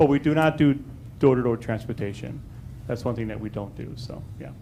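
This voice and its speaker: Speaking at a fairly quick pace, a man with a medium pitch and a dark, mellow tone shows vocal fry, ordinary pitch variation, and big swings in loudness. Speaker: special recreation agency representative. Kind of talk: presentation Q&A at public meeting. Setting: village board meeting with audience. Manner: fast; hesitant, many fillers.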